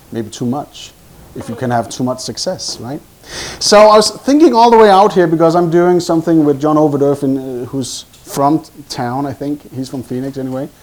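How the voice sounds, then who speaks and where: This man talks at a moderate pace with a Danish accent, his pitch fairly high and his intonation lively. Noticeable background noise runs under him. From Denmark. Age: 40s. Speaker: hypnosis trainer. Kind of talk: live presentation with group hypnosis exercise. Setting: meeting room with live audience. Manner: animated.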